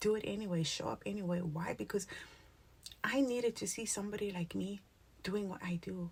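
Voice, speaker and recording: A woman's somewhat breathy voice at medium pitch, with ordinary pitch variation and long, frequent pauses. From South Africa, Cape Town (Cape Flats). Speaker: spiritual content creator. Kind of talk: motivational talk to camera. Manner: animated, casual.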